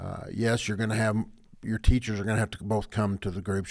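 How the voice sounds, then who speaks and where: In a very clean recording with a silent background, a man speaks at a fairly quick pace with a fairly low pitch and fairly even intonation. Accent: West Texas. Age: 60s. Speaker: sports podcast co-host. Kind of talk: casual chat.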